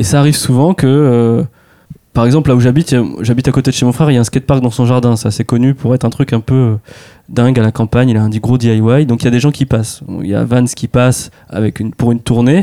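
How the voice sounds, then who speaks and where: A man talks very fast at a medium pitch, his tone dark and mellow. His intonation is fairly even, and the sound is dry and close with no echo. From France, Touraine (rural village near Tours). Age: 30s. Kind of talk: casual interview.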